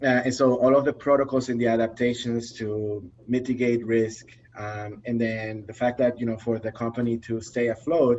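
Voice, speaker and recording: The speaker has a non-native accent and talks at a moderate pace with hardly any pauses. The intonation is flat and monotone. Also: man, medium pitch for a man. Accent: foreign accent, lasting. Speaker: behavior analyst, trainer. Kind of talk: casual interview chat. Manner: halting, many fillers and repeats.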